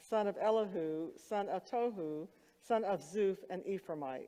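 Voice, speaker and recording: At a fairly slow pace, a woman with a medium pitch and a dark, mellow tone speaks with lively intonation. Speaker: seminary professor reading scripture in chapel. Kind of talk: scripture reading in chapel.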